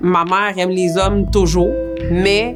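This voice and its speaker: This is a woman speaking at a medium pitch. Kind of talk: interview answer.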